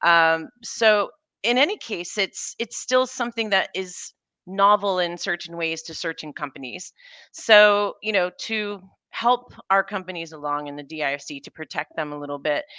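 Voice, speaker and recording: Against a quiet background with a dry, close sound and no echo, a woman with an American accent speaks at a medium pitch and moderate pace, her bright, sharp tone carrying lively intonation and big swings in loudness. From United States. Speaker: data protection regulator. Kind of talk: panel discussion.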